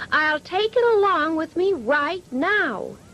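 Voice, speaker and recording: Putting on a character voice, a woman speaks at an extremely high pitch with lively intonation and a fairly slow pace. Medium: read story.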